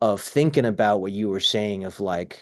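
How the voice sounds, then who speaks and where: Against a quiet background, a man with a Dutch accent talks at a moderate pace and a medium pitch. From Netherlands (south, near Germany and Belgium). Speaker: cinematographer and film teacher. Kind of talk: interview. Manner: animated; clear.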